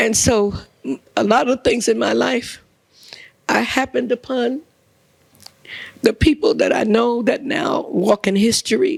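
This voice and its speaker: With a New York accent, a woman speaks fairly slowly at a fairly high pitch, using lively intonation and long, frequent pauses, in a dry, close sound with no echo. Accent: New York City. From New York City (Brooklyn, Lower East Side, East Harlem). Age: 70s. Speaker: journalist and author. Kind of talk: on-stage interview. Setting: live audience.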